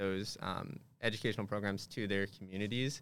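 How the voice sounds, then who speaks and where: In a Californian accent, a man with a fairly low pitch speaks at a moderate pace on a very clean recording with a silent background. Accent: Californian American. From Southern California. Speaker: fraternity staff member. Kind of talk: podcast interview. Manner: halting, frequent repetitions; laughs often.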